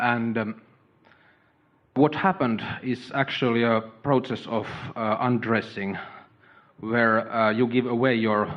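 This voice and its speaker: A man speaks with a strong non-native accent at a medium pitch. His pace is fairly slow and his intonation fairly even. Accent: thick foreign. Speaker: doctor. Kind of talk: audience Q&A with speaker. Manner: halting, many fillers.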